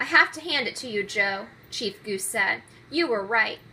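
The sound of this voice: The unforced reading voice has lively intonation throughout.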